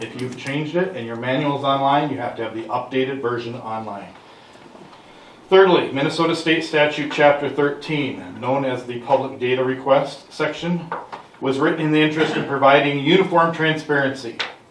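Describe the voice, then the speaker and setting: Ordinary pitch variation over audible room echo and noticeable background noise. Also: man, fairly high pitch for a man. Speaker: citizen investigator. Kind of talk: public comment at council meeting. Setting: city council meeting room. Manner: fast.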